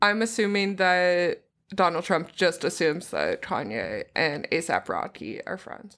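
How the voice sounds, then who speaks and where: Speaking at a moderate pace with an animated tone, a woman at medium pitch shows ordinary pitch variation and vocal fry on a very clean recording with a silent background. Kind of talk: casual comedic banter. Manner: animated, joking, laughs a lot.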